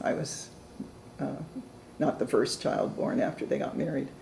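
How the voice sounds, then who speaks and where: Audible room echo surrounds a woman speaking with a West Coast accent. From Oregon (Portland, Salem). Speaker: retired law librarian. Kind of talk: oral history interview.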